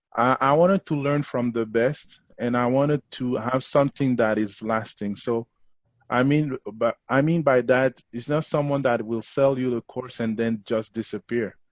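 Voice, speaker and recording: A man at a medium pitch with a Haitian accent, moderate pace, fairly even intonation and a dry, close sound with no echo. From Montreal, Canada. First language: Haitian Creole. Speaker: affiliate marketing student, digital agency owner. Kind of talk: interview testimonial. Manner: halting, with frequent fillers.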